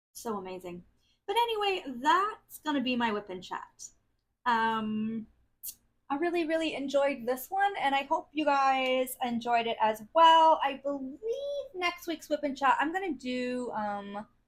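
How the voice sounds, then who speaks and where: Her voice is high, and its pitch swings very widely. A woman with an American accent, she speaks at a fairly slow pace. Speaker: craft video creator. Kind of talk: casual chat.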